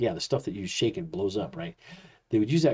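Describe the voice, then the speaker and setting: A man's dark, mellow tone carries a layer of vocal fry. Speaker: chiropractor and college instructor. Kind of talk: lecture. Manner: fast; casual, with fillers.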